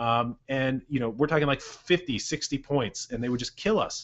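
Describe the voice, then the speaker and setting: This man has a fairly high pitch and a Californian accent. His pitch varies in an ordinary way. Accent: Californian American. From Santa Cruz, California, US. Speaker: basketball coach and show host. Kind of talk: casual Q&A show. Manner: fast.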